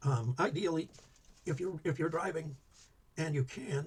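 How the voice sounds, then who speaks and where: Quiet, somewhat breathy mumbling with an American accent, ordinary pitch variation, moderate pace. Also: man. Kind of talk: instructional talk. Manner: quiet, mumbling; hesitant, many fillers.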